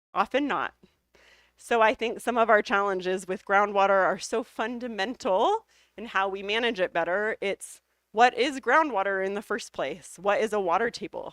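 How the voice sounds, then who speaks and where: A woman with an ordinary speaking voice and an American accent, medium pitch, ordinary pitch variation, moderate pace, dry, close sound with no echo, quiet background. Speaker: hydrogeology researcher and professor. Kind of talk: lecture Q&A.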